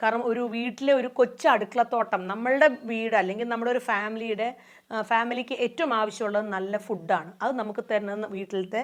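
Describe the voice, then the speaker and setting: Against a quiet background, a woman speaks in an ordinary speaking voice. Her pitch is fairly high and her intonation fairly even. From Bangalore, India. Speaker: farmer. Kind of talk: testimony.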